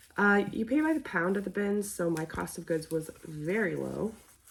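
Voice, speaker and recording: A woman's speech moves at a moderate pace, with noticeable background noise present. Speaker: online clothing reseller. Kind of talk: casual vlog narration. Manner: hesitant, many fillers.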